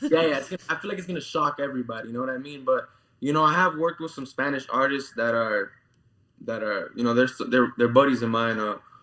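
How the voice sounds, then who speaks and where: This man speaks at a very fast pace in a Cuban accent, his medium pitch showing ordinary variation. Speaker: musician. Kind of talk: interview. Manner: casual, many fillers.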